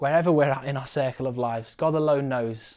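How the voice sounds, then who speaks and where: A man with a British accent speaks at a fairly high pitch with ordinary pitch variation against a quiet background. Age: 20s. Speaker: preacher. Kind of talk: sermon.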